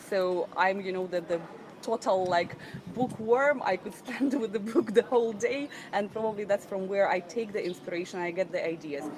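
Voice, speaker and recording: Noticeable background noise sits behind a woman's voice. She uses a medium pitch with ordinary variation at a moderate pace. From Ukraine, Odessa. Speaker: entrepreneur, business trainer. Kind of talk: interview.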